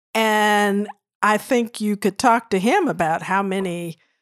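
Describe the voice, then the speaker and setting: A woman with an unremarkable speaking voice talks at a fairly slow pace and medium pitch with ordinary pitch variation, recorded dry and close with no echo, very clean against a silent background. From St. Louis, Missouri, US. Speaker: retired systems analyst and board member. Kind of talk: interview.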